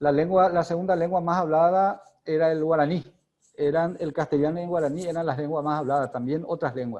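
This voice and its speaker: Fairly quick and fairly high in pitch, a man speaks with fairly even intonation. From Paraguay. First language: Guarani (speaking Spanish). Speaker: academic speaker on linguistics. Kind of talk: lecture. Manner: halting.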